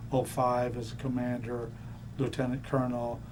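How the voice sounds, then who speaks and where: A man with an American accent speaks at a medium pitch and moderate pace, somewhat breathy, with audible room echo. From Florida (Miami). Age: 60s. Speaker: navy veteran. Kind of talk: oral history interview. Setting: museum.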